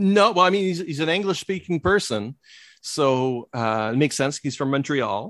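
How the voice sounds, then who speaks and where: On a very clean recording with a silent background and a dry, close sound with no echo, a man with a French Canadian accent talks at a moderate pace in a fairly high voice with lively intonation. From Quebec. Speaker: comic book blogger and podcaster. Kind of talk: casual chat. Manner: halting.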